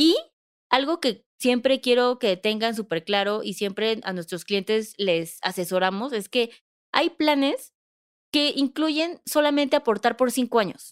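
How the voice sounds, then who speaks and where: A woman with a normal speaking voice and lively intonation talks at a fairly slow pace in a fairly high pitch, dry and close with no echo in a very clean recording, silent background. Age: 30s. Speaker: financial advisor, podcast co-host. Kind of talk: casual explanatory chat.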